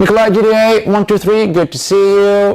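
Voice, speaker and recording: Music plays in the background as a man delivers his words at a fairly slow tempo. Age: 20s. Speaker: video game streamer and voice actor. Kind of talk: casual live-stream commentary. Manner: casual, chatty.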